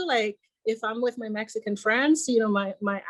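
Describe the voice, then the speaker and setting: A woman speaks at a fairly high pitch in a dry, close sound with no echo. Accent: Puerto Rican. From Puerto Rico. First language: Spanish. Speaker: podcast guest. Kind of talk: casual chat. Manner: halting.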